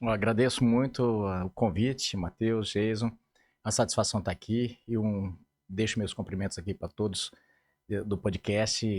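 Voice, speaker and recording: A man's fairly low voice at a moderate pace, with fairly even intonation, a dry, close sound with no echo, and a very clean recording with a silent background. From Mato Grosso, Brazil. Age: 50s. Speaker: politician. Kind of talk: interview.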